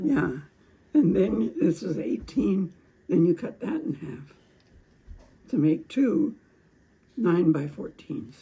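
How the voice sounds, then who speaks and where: Very wide pitch swings and vocal fry mark this woman's speech, which moves at a very slow pace with long, frequent pauses. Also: fairly low pitch for a woman. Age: 80s+. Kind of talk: craft instruction demo.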